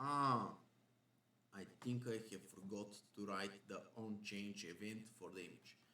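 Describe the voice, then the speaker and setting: Speaking with a bright, sharp tone and a fairly low pitch, a man goes at a fairly slow pace with long, frequent pauses. His intonation is fairly even, and room echo can be heard. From Bulgaria. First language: Bulgarian. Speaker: programming instructor. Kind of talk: coding tutorial. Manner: thinking aloud while live debugging.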